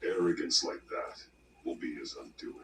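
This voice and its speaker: At a moderate pace, a man growls in a put-on character voice at an extremely high pitch. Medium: video game. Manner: measured, grave.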